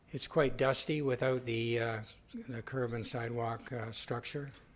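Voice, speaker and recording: Somewhat breathy male voice at medium pitch, moderate pace and monotone, flat intonation. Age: 70s. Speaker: resident at public participation. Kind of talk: public comment.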